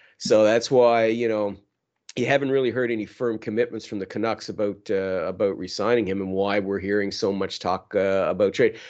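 A man's normal speaking voice, fairly low-pitched, with fairly even intonation, a fairly quick pace and a quiet background. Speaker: hockey podcast co-host. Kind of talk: casual chat.

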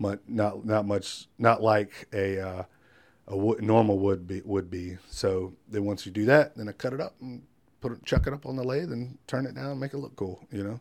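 With a coastal North Carolina accent, a man speaks at a moderate pace with a fairly low pitch and ordinary pitch variation, in a very clean recording with a silent background. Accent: US Southern (coastal North Carolina). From North Carolina coast (Wilmington). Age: 40s. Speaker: firefighter and craftsman. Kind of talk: interview conversation. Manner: many fillers and repetitions.

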